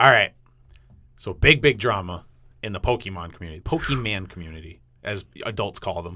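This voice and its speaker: A man's bright, sharp voice at a fairly quick pace, with long, frequent pauses, on a very clean recording with a silent background. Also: fairly low pitch for a man, lively intonation. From New England. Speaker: podcast host. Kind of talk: casual chat.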